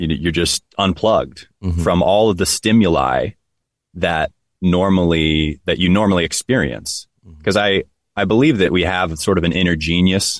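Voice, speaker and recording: A man with a very deep, low pitch and vocal fry talks at a moderate pace with ordinary pitch variation and very even loudness, in a dry, close sound with no echo. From Hawaii. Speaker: men's retreat director. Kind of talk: interview.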